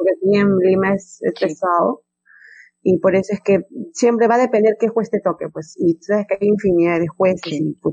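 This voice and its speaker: At a fairly quick pace, a woman speaks in a plain, everyday voice with ordinary pitch variation. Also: medium pitch for a woman. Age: 20s. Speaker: English teacher. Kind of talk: interview.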